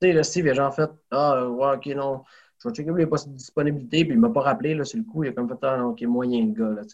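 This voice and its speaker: Speaking very fast, a man uses lively intonation and a fairly high pitch. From Quebec, Saguenay region (rural). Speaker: professional wrestler. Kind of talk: interview conversation.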